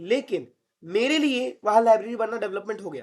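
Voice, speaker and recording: Pitched high for a man, this male voice has an animated tone and ordinary pitch variation. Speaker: online tutor. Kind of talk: lecture.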